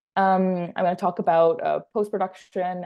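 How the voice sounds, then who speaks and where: Her medium-pitched voice moves at a fairly quick pace as the woman speaks. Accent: slight French Canadian. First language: French. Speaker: assistant film editor. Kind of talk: workshop presentation.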